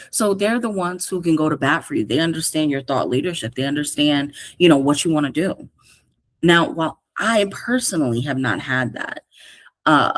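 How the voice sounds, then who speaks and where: A woman with an American accent, her pitch very deep and low, her tone animated and her intonation lively, at a moderate pace. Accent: New York accent, heavy lately. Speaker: career coach podcast host. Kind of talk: casual podcast monologue.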